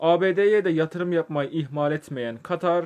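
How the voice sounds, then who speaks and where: Against a quiet background, a normal speaking voice moves at a fairly slow pace with fairly even intonation. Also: man. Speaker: video essayist. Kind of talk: scripted narration.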